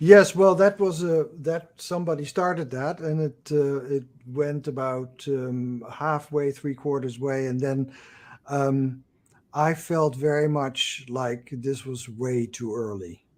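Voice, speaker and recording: A man speaks at a very slow pace. His pitch is fairly high, with ordinary pitch variation. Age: 70s. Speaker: Jungian psychoanalyst and author. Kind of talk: interview. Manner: halting.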